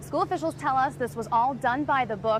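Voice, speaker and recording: A woman speaks in a high pitch with lively intonation. Noticeable background noise runs behind her. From New Hampshire. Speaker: TV news anchor and reporter. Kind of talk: TV news anchoring and reporting.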